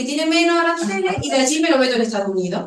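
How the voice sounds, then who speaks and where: A woman speaks with a high pitch and very wide pitch swings. Audible room echo is present. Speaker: economics professor. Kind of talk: lecture.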